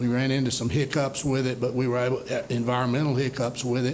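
There is audible room echo as a man talks at a medium pitch with a monotone, flat intonation. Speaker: economic development official. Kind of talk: presentation. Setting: city council meeting.

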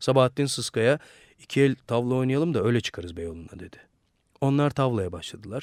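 The background stays quiet while someone reads in an unforced reading voice.

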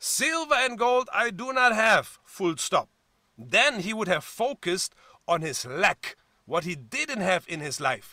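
In a German accent, a man with a high pitch and a bright, sharp tone uses a raised, projected voice with very wide pitch swings, and the sound is dry with no echo. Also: quiet background. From Germany. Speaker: pastor. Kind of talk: sermon. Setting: church. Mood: warm, encouraging. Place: home room. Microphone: webcam.

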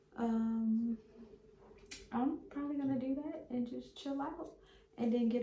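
Over light background noise and audible room echo, a woman speaks fairly slowly in a high pitch with fairly even intonation. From Baltimore, Maryland. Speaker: hair braider and vlogger; vlogger. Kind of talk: casual vlog monologue. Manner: casual, chatty. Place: bathroom. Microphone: phone near.

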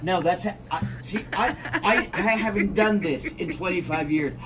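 Noticeable background noise sits under this voice. The speech moves at a very slow pace. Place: garden. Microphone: camera far.

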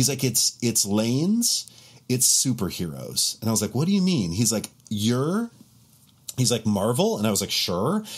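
A man's medium-pitched, somewhat breathy voice with an American accent, lively intonation, a moderate pace and very even loudness. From Montana, US. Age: 40s. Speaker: bass player and content creator; content creator. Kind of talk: casual chat. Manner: animated. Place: home room.

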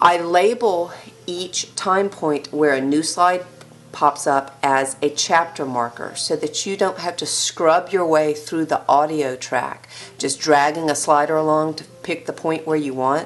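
A woman talks fairly slowly in a very deep, low voice. Her pitch varies in an ordinary way, with faint music in the background. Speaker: teacher. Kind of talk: lecture. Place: home room.

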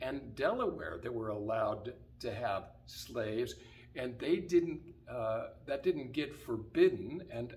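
The voice belongs to a man. He talks very slowly. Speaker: pastor. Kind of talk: sermon-style address. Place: church. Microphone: camera far.

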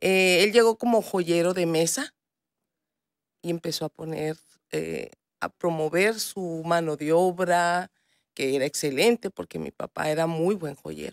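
At a fairly slow pace with long, frequent pauses, a woman speaks in a fairly low voice with ordinary pitch variation, the sound dry with no echo and the background quiet. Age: 40s. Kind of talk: TV news interview. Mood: warm, proud. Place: studio. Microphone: studio mic.

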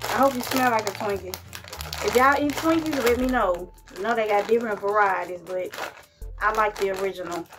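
Over music in the background, a woman speaks at a fairly quick pace with ordinary pitch variation. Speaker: food reviewer. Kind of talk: casual vlog chat. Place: home room. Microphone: phone near.

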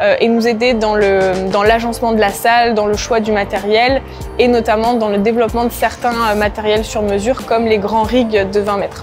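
With clear music in the background, a woman speaks at a moderate pace in a monotone, flat intonation. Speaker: coach. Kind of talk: interview answer. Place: gym. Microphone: lapel.

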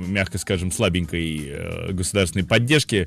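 A man speaks at a moderate pace with ordinary pitch variation. The sound is dry with no echo, and faint music plays in the background. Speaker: radio host. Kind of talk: radio commentary. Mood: ironic, conversational. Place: studio. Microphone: studio mic.

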